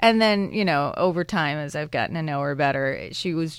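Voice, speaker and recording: Here a woman speaks in a plain, everyday voice with an American accent and lively intonation at a moderate pace. The recording is very clean, with a silent background. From US Midwest, suburban Chicago. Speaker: documentary filmmaker. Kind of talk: interview. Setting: studio.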